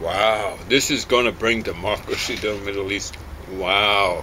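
Through noticeable background noise, a man with a fairly low pitch speaks at a fairly slow pace. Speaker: home video host. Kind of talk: casual chat, personal story and opinion. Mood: irritated, opinionated. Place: garden. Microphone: camera far.

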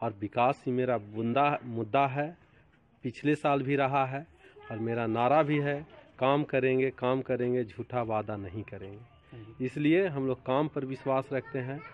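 Amid light background noise, a man talks very slowly with fairly even intonation, the sound dry with no echo. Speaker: council candidate. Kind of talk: interview answer. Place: street. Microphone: phone near.

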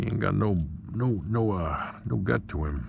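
A man's very deep, low voice, dry with no echo, over noticeable background noise. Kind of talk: casual vlog chat. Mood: amused, excited. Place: boat. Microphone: phone near.

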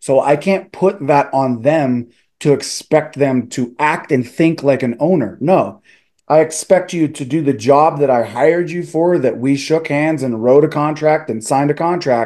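With a fairly high pitch, ordinary variation and a slightly mellow tone, a man speaks at a fairly slow pace.

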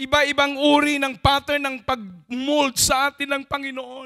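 Projecting a raised voice against a quiet background, a man speaks at an extremely high pitch with a bright, sharp tone. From Philippines. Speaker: preacher. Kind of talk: sermon. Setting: church. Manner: call-and-response, prompting audience to say amen. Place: church. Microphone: handheld.

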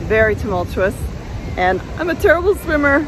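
A woman talks at a fairly quick pace over noticeable background noise, the sound dry with no echo. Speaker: travel vlogger. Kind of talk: casual vlog chat. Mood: cheerful, enthusiastic. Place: beach. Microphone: phone near.

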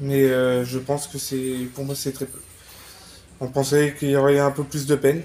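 With a dark, mellow tone and a fairly high pitch, a man speaks in a monotone, flat way, his loudness swinging widely between long, frequent pauses. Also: moderate pace. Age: 30s. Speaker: witness, rescuer of dog attack victim; witness. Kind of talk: testimony. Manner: halting. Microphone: lapel.

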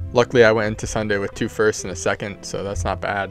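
Clear music plays in the background as a man with a fairly low pitch speaks, the sound dry with no echo. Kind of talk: casual vlog chat. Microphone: handheld.

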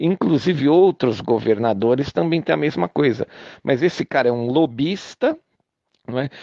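With a Brazilian accent, a man speaks at a moderate pace in a fairly high pitch, his pitch swinging very widely. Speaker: political commentator recording an audio message. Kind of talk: angry political rant, audio message. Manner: indignant, sarcastic, hammering rhetorical questions; urgent, rallying, repetitive for emphasis.

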